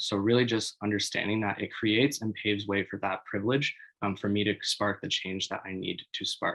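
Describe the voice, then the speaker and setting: Speaking at a fairly quick pace in a plain, everyday voice, a man with a fairly low pitch talks with a Canadian accent. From Canada, Toronto. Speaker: youth workshop facilitator. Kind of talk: webinar presentation. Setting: online webinar.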